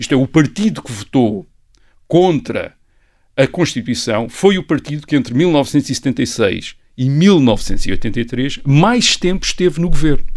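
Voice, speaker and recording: This man talks at a very slow pace with a fairly high pitch. His pitch swings very widely. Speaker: historian. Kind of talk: podcast conversation, explanatory. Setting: studio, sitting across from co-host. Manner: hesitant, many fillers.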